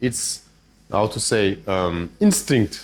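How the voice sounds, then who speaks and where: With a French accent, a man's voice makes very wide pitch swings. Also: very clean recording, silent background. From France. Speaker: chess grandmaster and trainer. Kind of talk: masterclass lecture with audience interaction. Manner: hesitant, with restarts.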